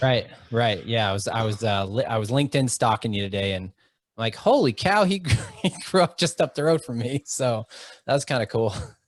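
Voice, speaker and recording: An unremarkable speaking voice with an American accent, lively intonation and a fairly quick pace, in a very clean recording with a silent background and a dry, close sound with no echo. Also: man, medium pitch for a man. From Oxford, Ohio. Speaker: podcast host. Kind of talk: casual interview chat.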